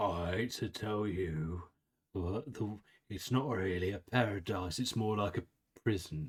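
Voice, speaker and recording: Using a put-on character voice, a man speaks at a fairly slow pace in a fairly low pitch. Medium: actual play. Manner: weird chuckling, jolly like Santa.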